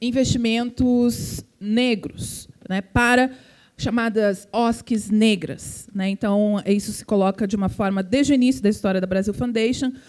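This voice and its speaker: At a fairly slow pace, a woman with a strong gaúcho accent speaks in a fairly high voice with fairly even intonation. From southern Brazil, Porto Alegre. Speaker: philanthropy foundation representative. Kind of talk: panel talk. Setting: event with audience.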